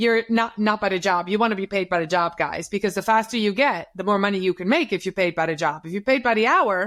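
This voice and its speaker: With a Dutch accent, a woman talks at a fairly quick pace. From Netherlands. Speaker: social media consultant. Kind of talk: interview. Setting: podcast. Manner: animated.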